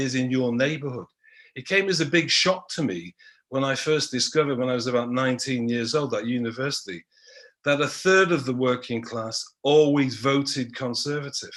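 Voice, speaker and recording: With a Manchester accent, a man speaks at a moderate pace. His pitch is fairly high. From Manchester, northern England. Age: 60s. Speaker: history professor. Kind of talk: panel talk.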